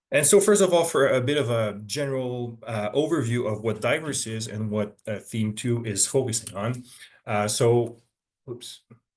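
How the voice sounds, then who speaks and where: A man with a Quebec accent speaks at medium pitch and a moderate pace, with ordinary pitch variation. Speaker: forestry professor. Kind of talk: webinar lecture. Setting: online webinar. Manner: hesitant, many fillers.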